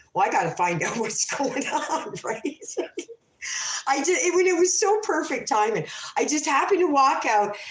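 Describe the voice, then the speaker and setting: The speaker has an animated tone and a moderate pace. Background noise is noticeable. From Canada. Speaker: livestreamer telling stories. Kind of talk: casual livestream storytelling. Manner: loud and animated.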